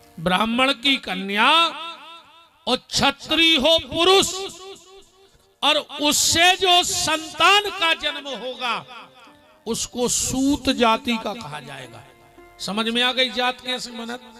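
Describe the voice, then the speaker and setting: A raised, projected voice with lively intonation and big swings in loudness, with music in the background. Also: man. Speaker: religious storyteller. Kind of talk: devotional sermon to live audience.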